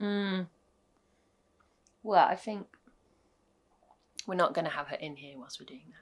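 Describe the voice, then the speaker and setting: The speaker has a British accent and talks at a moderate pace with ordinary pitch variation. Long, frequent pauses break up the speech, and the loudness swings widely. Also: woman, medium pitch for a woman. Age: 30s. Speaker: vlogger, small business owner. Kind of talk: casual chat.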